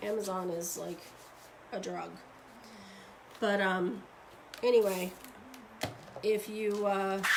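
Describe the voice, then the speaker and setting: A woman's medium-pitched voice at a very slow pace, flat and monotone, with long, frequent pauses, big swings in loudness, audible room echo and noticeable background noise. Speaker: craft demonstrator and seller. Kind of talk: live tutorial. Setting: live stream at home desk. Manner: casual, chatty; quiet while focusing.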